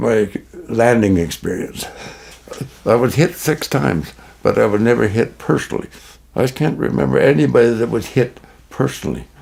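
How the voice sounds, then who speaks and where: A man with a Canadian accent speaks at a moderate pace and medium pitch, with very wide pitch swings. Long, frequent pauses punctuate his speech over noticeable background noise. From Manitoba, Canada. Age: 90s. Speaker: war veteran. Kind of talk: testimony. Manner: halting.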